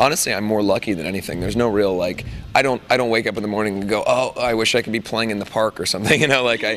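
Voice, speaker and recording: A man with a fairly low pitch talks at a very fast pace, with noticeable background noise behind him. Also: ordinary pitch variation. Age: 20s. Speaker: rock band singer. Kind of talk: interview.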